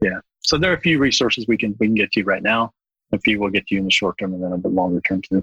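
A man talks at a very fast pace in a bright, sharp tone. The sound is dry and close, with no echo. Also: fairly low pitch for a man, ordinary pitch variation. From Bangladesh. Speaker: university open source program lead. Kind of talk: podcast interview.

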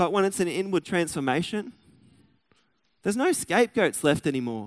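In an Australian accent, a man speaks with lively intonation in a dry, close sound with no echo. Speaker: pastor. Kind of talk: sermon. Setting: church.

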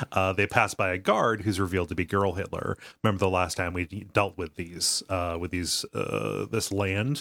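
A man with a very deep, low pitch and vocal fry speaks at a moderate pace with ordinary pitch variation. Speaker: podcast host.

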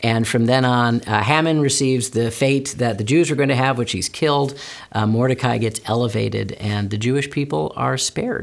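A man with an unremarkable speaking voice, moderate pace and hardly any pauses, ordinary pitch variation, on a very clean recording with a silent background. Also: medium pitch for a man. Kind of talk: casual interview conversation.

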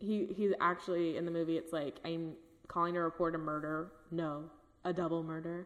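A woman's fairly low voice in a Californian accent, monotone and flat, at a moderate pace. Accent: Californian American. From Northern California (Napa). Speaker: podcast co-host. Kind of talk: casual true-crime storytelling.

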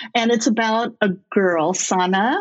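A woman with a fairly high pitch uses an ordinary speaking voice. She has an American accent and ordinary pitch variation. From California. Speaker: children's book author. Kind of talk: interview.

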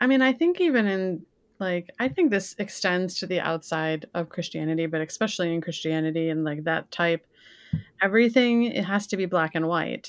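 A woman's fairly low voice with an American accent, an ordinary speaking voice at a moderate pace with ordinary pitch variation, on a very clean recording with a silent background. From Michigan, Detroit area (Pontiac, Lake Orion). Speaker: podcast guest, music fan. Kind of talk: casual chat.

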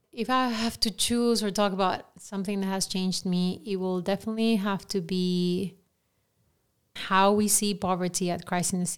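A woman with a Peruvian accent, medium pitch and monotone, flat intonation, on a very clean recording with a silent background. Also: moderate pace. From Peru, Lima. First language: Spanish. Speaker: director of formation at a ministry. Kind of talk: podcast interview.

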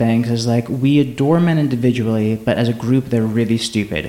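A man's unremarkable speaking voice, medium in pitch with ordinary pitch variation, at a fairly quick pace. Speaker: podcast host. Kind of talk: casual chat.

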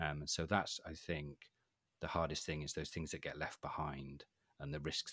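Speaking with a Welsh accent, the voice holds a moderate pace with monotone, flat intonation and vocal fry. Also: man, dry, close sound with no echo. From Wales. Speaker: cybersecurity specialist. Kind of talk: casual interview.

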